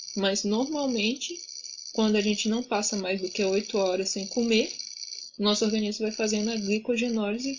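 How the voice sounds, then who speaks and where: Over noticeable background noise, a woman speaks at a moderate pace with a fairly high pitch and fairly even intonation. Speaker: student tutor. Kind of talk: tutoring session.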